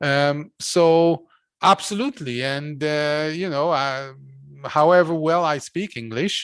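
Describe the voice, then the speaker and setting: The speaker has a Hungarian accent and talks at a very slow pace. The background is quiet. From Hungary. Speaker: philosopher and course lecturer. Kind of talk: academic lecture discussion. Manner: hesitant, many fillers.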